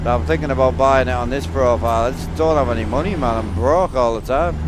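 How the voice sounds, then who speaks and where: A man talks at a very fast pace, his pitch swinging very widely. Audible room echo and noticeable background noise fill the recording. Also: medium pitch for a man. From North East England. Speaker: gaming streamer. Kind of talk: casual chat. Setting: live stream.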